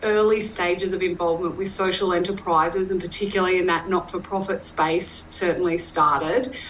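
Over noticeable background noise, a woman with an Australian accent speaks fairly quickly at a medium pitch and with fairly even intonation. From Western Queensland, Australia. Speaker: rural entrepreneur and business consultant. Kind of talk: interview.

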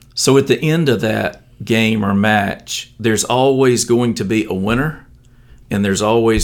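A man talks at a moderate pace. He speaks with an Alabama accent. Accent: Southern US (Alabama). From US South, southeast Alabama. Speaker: stadium announcer. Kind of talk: interview.

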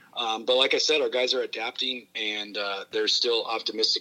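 With an American accent, a man rattles his words off very fast. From Metro Detroit, then rural Montana from age 12. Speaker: college basketball coach. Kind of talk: casual interview. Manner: halting, many fillers.

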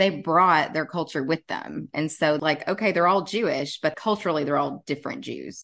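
With a Southern US accent, a woman speaks in a very deep, low pitch with vocal fry and ordinary pitch variation, hardly pausing, against a quiet background. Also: moderate pace. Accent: Southern US, deeper than John's. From Tennessee, US South. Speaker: podcast co-host and travel blogger. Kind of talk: casual conversational podcast.

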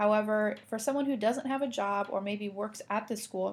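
Speaking at a moderate pace, a woman with an American accent has a medium pitch. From US Midwest, Indiana. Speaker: college student podcast co-host. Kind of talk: casual chat.

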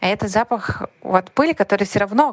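This is a woman in a normal speaking voice at medium pitch. She moves at a fairly quick pace with lively intonation. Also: dry, close sound with no echo. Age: 30s. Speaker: podcast listener. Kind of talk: recorded voice message. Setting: recorded voice message.

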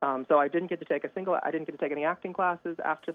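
With an American accent, a man speaks at a fairly high pitch using fairly even intonation. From Kentucky, US. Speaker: opera singer. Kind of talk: interview. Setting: phone call.

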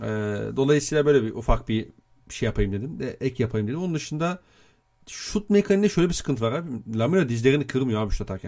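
On a very clean recording with a silent background, a man of medium pitch talks at a very fast pace in a dark, mellow tone with very wide pitch swings. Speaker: NBA podcast host. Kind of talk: casual chat.

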